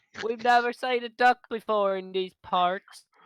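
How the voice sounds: Putting on a squeaky character voice, a man speaks at a high pitch and moderate pace.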